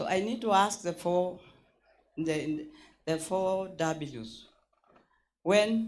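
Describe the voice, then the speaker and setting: The intonation is lively. There is audible room echo. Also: woman. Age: 70s. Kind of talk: conference floor remarks. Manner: halting; impassioned.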